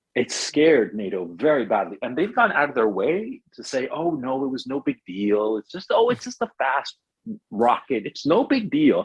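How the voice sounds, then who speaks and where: The speaker talks at a moderate pace with an American accent, vocal fry and very wide pitch swings. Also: man, fairly high pitch for a man. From United States, Chilean parents. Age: 50s. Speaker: writer and filmmaker. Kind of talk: interview.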